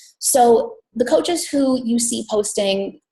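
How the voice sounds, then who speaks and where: Somewhat breathy and fairly high in pitch, a woman speaks with an American accent and lively intonation. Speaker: fitness business coach. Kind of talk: team call presentation. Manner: fast.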